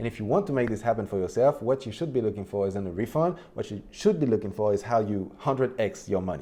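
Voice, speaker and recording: Very fast and with hardly any pauses, a man with a non-native accent speaks at medium pitch in a dark, mellow tone. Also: lively intonation. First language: not English. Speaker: online business youtuber. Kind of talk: Q&A explainer video. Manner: casual, conversational.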